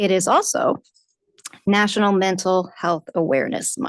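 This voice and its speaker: A soft-spoken woman at medium pitch, fairly quick, with fairly even intonation and a quiet background. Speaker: city councilor. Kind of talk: council meeting report.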